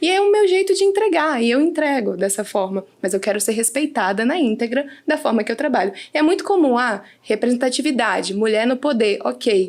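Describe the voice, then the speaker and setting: Her pitch high and swinging very widely, a woman talks at a fairly quick pace while her loudness stays very even. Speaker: team leader in a company. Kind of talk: casual podcast conversation.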